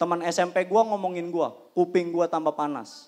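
With ordinary pitch variation, a man talks at a high pitch. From Indonesia. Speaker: stand-up comedian. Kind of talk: stand-up comedy. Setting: stage with audience. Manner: animated; punchline-driven, acts out characters. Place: stage. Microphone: handheld.

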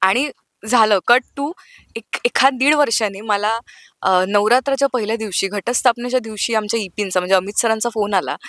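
A woman's fairly high pitch with ordinary pitch variation, a normal speaking voice, and a dry, close sound with no echo. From Nagpur, Maharashtra. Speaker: TV serial actress. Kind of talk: casual interview chat.

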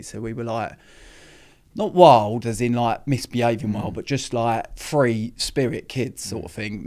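A man at a moderate pace, with ordinary pitch variation and a quiet background. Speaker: podcast guest. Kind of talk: interview answer. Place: studio. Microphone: studio mic.

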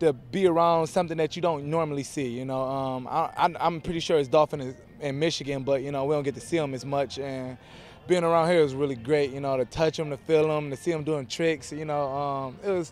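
A man speaks with fairly even intonation. The sound is dry, with no echo. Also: fairly quick pace. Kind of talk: interview answer. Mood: cheerful, amused. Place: waterside. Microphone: handheld.

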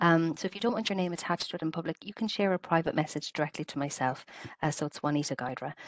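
A woman speaks at a very fast pace with a fairly low pitch. Her pitch varies in an ordinary way over a quiet background. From Ireland, Clonmel, County Tipperary; Ireland. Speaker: webinar host, health service quality and safety staff; webinar host. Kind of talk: online webinar facilitation. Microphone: headset.

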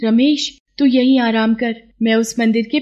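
A woman's fairly high, animated voice. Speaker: storyteller narrating a moral story. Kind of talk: scripted storytelling. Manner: animated, voicing each character in turn.

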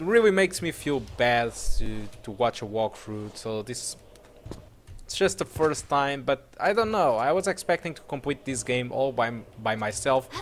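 Lively intonation, big swings in loudness, and a moderate pace. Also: man. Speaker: gaming video creator. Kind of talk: let's play gameplay commentary. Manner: halting, many fillers; animated, laughs often.

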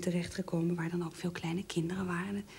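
A woman speaks at a fairly low pitch in a somewhat breathy voice with a dark, mellow tone. Her intonation is monotone and flat. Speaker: interviewee. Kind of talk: interview. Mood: calm, reflective. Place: home room.

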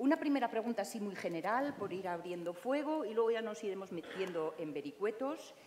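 A woman talks at a fairly quick pace with hardly any pauses, her pitch swinging very widely. Light background noise is present. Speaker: moderator and journalist. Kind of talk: moderated panel discussion. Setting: live event with audience. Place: hall.

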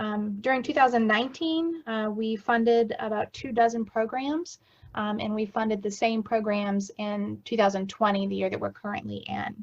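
A somewhat breathy woman's voice, fairly high in pitch, with ordinary pitch variation and hardly any pauses. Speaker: director of a community action agency. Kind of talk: report presentation at council meeting. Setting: video call. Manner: fast.

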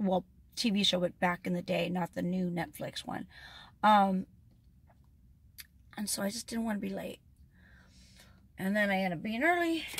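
A woman's voice sounds somewhat breathy, with ordinary pitch variation. She leaves long, frequent pauses. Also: moderate pace. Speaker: vlogger. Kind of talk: casual vlog chat. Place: car.

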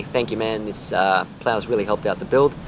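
Speaking with an Australian accent at a fairly quick pace, a man keeps a fairly low pitch and fairly even intonation amid noticeable background noise. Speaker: gaming YouTuber. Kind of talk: gameplay commentary narration. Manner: halting, many fillers.

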